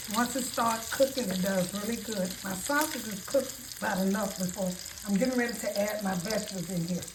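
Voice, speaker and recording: Over noticeable background noise and audible room echo, a woman speaks at a fairly quick pace in a medium pitch with ordinary pitch variation. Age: 70s. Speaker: home cooking video host. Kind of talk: cooking tutorial. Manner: casual, with hesitations.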